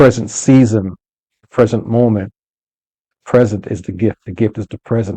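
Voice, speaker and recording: At a moderate pace with long, frequent pauses, a man speaks at medium pitch in a dark, mellow tone with fairly even intonation, the sound dry and close with no echo. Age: 60s. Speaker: podcast host on leadership. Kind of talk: motivational podcast monologue. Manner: conversational, repetitive with fillers.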